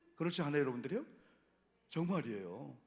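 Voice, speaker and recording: Through audible room echo, a man with a fairly high pitch talks in very wide pitch swings. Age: 60s. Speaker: pastor. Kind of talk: sermon. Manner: animated.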